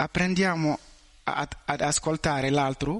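The background stays quiet as a man talks fairly slowly. His intonation is fairly even. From Mali. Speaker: student. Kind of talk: testimony. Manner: halting.

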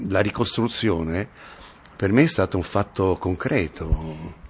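A man's very deep, low voice, somewhat breathy, with lively intonation at a very slow pace. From Turin, northern Italy. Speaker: actor. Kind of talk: interview. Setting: at his home.

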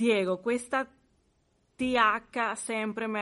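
In a Spanish accent, a woman speaks with monotone, flat intonation against a quiet background. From Venezuela. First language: Spanish (speaking Italian). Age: 40s. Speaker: language student. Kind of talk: language lesson. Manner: halting.

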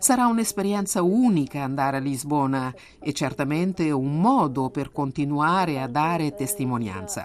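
Very wide pitch swings mark a woman's very deep, low voice. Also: moderate pace. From Angola. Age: 20s. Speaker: youth coordinator and catechist. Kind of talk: testimony. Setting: remote recording.

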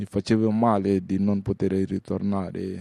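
A man's fairly low, dark and mellow voice, very slow and flat in a monotone, with a dry, close sound and no echo. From Mali, Bamako. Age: 30s. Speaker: refugee, former political activist. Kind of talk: testimony.

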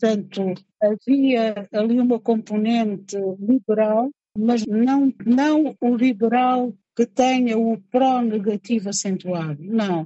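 Somewhat breathy, a woman talks at a very slow pace. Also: fairly high pitch for a woman, ordinary pitch variation. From Angola, Cabinda. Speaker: writer and poet. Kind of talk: interview testimony.

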